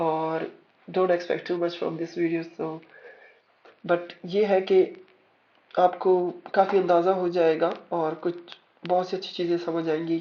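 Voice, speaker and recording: A man speaks in a high voice with monotone, flat intonation. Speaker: forex trader and trading educator. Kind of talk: tutorial. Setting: screen-recorded voice commentary over charts. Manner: code-switching between Urdu and English; halting, with fillers and self-corrections.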